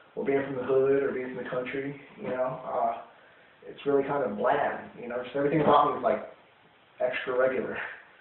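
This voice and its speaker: A man speaks at a fairly quick pace with a fairly high pitch, fairly even intonation and big swings in loudness. Noticeable background noise and audible room echo fill the recording. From US, military family, moved around. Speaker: interviewee. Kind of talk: interview. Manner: halting, many fillers.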